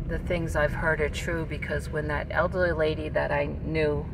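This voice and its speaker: There is noticeable background noise as a woman speaks at a moderate pace. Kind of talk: casual vlog chat. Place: car. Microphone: phone near.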